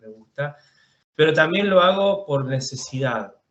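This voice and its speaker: A man's voice with ordinary pitch variation. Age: 40s. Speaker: film director. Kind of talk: interview. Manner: halting, with frequent repetitions.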